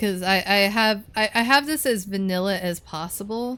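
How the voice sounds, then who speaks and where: This woman has a bright, sharp tone and speaks at a fairly slow pace. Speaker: video game streamer. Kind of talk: live gameplay stream chat. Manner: stuttering, repeats words; casual, chatty.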